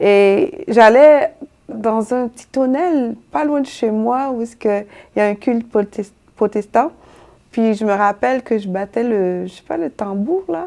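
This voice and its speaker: A woman with a fairly high pitch and a dark, mellow tone speaks at a very slow pace with lively intonation. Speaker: singer. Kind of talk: interview. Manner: halting, many fillers and repetitions.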